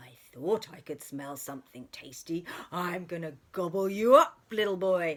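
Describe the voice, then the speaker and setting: A woman's put-on character voice, fairly low in pitch, at a moderate pace. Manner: greedy.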